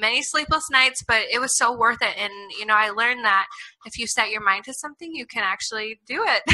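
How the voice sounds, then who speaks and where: Speaking at a fairly quick pace, a woman with an American accent has a high pitch and ordinary pitch variation. Her tone is animated, with big swings in loudness. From Iowa, US Midwest. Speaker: author and foster care advocate. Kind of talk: interview.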